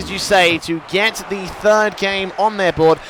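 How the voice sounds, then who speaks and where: A man talks in a raised, projected voice with an English accent. His intonation stays fairly even over noticeable background noise. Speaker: esports commentator. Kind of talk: live commentary. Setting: studio. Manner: fast.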